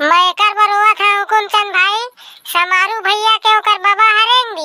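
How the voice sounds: A squeaky, cartoonish character voice from a woman, extremely high in pitch, at a moderate pace with fairly even intonation, dry and close with no echo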